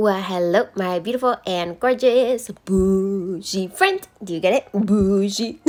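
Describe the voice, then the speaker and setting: A woman speaks in an upbeat, bubbly tone over noticeable background noise. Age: 20s. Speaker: self-taught nail artist. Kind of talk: casual tutorial talk to camera.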